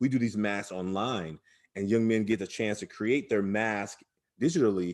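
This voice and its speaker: The speaker has an American accent and ordinary pitch variation. The pace is fairly quick. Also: man. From Oakland, California, US. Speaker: youth development program founder. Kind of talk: interview. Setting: remote call from his office.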